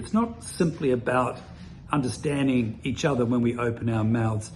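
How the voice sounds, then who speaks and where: Audible room echo surrounds a man with a New Zealand accent who speaks at a moderate pace in a medium pitch. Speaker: immigration consultant. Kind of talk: presentation.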